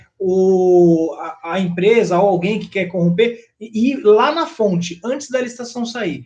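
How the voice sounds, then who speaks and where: With lively intonation, a man talks at a moderate pace. His pitch is high. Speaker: former public procurement officer, trainer. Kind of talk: casual panel chat. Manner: halting, many self-corrections.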